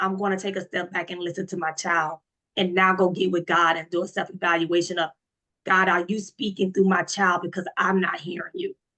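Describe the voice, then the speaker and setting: Bright and sharp in tone, a woman with an American accent speaks in a monotone, flat intonation. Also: medium pitch for a woman, fairly quick pace. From US South, Florida. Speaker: panel participant. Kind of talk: group discussion.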